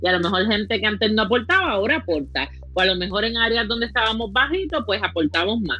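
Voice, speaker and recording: Against noticeable background noise, a woman talks very fast at a fairly high pitch, her intonation lively and her loudness very even. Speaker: podcast co-host. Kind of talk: casual political discussion. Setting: live video stream.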